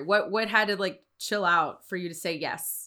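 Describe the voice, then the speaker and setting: A woman with an American accent speaks at a moderate pace in a medium-pitched, bright, sharp and animated tone. The recording is very clean, with a silent background. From Houston, Texas. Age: 40s. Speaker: podcast host. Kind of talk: casual interview chat with ad read. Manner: animated, talkative, laughs often.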